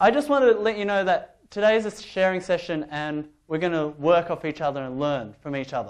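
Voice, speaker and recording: Lively intonation and a fairly quick pace mark this speech in an Australian accent. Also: man. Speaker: public speaking workshop trainer. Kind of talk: workshop talk. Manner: animated.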